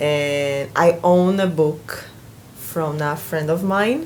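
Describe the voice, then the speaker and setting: Woman with a slight Brazilian accent, audible room echo and noticeable background noise. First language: Portuguese. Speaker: booktuber. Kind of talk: casual vlog. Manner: halting.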